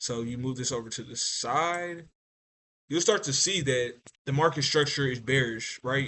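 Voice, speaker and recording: A man's voice at medium pitch. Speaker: day trader and trading educator. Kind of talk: tutorial. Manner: casual, filler-heavy; stumbles over words.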